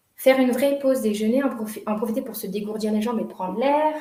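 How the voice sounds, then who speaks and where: Noticeable background noise and audible room echo surround a woman with a fairly high pitch. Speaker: workshop leader on workplace wellbeing. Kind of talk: online workshop presentation. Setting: video call.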